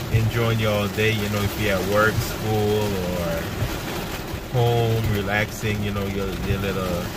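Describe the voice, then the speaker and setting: Loud background noise behind a man, his sound dry with no echo. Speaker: driver vlogger. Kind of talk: casual vlog chat. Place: car. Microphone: phone near.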